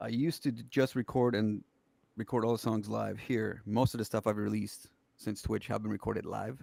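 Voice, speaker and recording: Over a silent background in a very clean recording, a man with an ordinary speaking voice talks at a fairly quick pace, fairly low in pitch and with fairly even intonation. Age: 40s. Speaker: musician. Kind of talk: casual chat.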